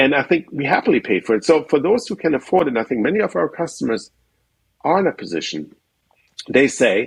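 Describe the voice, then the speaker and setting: A very fast voice with vocal fry and very wide pitch swings. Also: man, fairly high pitch for a man. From Europe. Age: 50s. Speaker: solar company founder. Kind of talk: interview.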